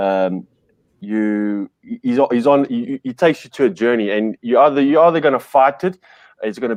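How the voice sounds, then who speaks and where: In a dry, close sound with no echo and a quiet background, a man with an Afrikaans South African accent talks fairly quickly at a medium pitch. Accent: Afrikaans farm-boy South African. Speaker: podcast guest, media entrepreneur. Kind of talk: casual chat. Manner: halting, many fillers and restarts.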